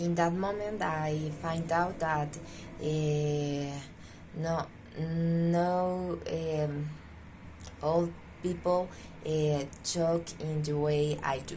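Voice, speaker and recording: Somewhat breathy, with a dark, mellow tone and a very deep, low pitch, a woman speaks very slowly in a monotone, flat way with long, frequent pauses, her voice carrying audible room echo. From Pasto, southern Colombia. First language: Spanish. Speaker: student. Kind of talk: self-introduction monologue. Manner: drawling intonation; halting, many fillers.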